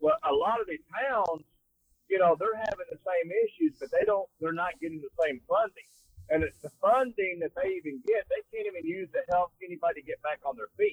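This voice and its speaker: With a Texan accent, a man speaks at a moderate pace. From North Texas, Fort Worth. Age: 60s. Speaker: wrestler. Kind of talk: casual chat. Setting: phone call from a car.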